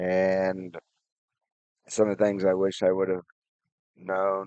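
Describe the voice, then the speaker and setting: At a very slow pace, a man speaks in a very deep, low voice. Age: 60s. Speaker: personal finance vlogger. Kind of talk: advice monologue. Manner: halting, many fillers.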